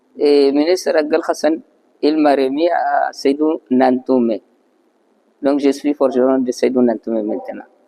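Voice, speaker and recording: With a non-native accent, a man speaks at a fairly slow pace and a fairly high pitch, his fairly even intonation broken by long, frequent pauses. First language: not French (speaking French). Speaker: master artisan, blacksmith. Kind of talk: interview testimony. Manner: halting.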